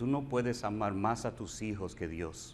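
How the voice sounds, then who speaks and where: Audible room echo follows a man whose intonation is lively. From Puerto Rico. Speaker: pastor. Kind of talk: sermon.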